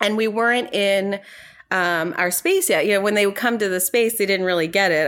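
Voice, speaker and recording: A woman with a plain, everyday voice speaks at a fairly quick pace. Her pitch is medium, with ordinary pitch variation. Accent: American. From New York. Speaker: financial company founder. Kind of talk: interview.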